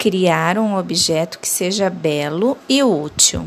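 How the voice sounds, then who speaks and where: Her pitch shifts in an ordinary way. This woman's voice sits at a medium pitch. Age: 30s. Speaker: arts teacher. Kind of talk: tutorial. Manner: clear, instructional.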